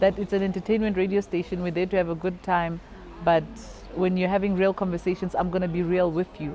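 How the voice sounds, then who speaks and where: A woman speaking very fast in a flat monotone, with noticeable background noise. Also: medium pitch for a woman. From South Africa, Free State and North West. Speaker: stand-up comedian, radio host. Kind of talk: interview answer.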